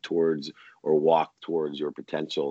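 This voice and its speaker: A man's very deep, low voice at a moderate pace. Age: 50s. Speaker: entrepreneur and keynote speaker. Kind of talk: interview. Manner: eloquent.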